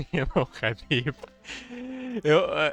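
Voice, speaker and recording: A man with a Russian accent. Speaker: game caster. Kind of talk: live commentary. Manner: halting.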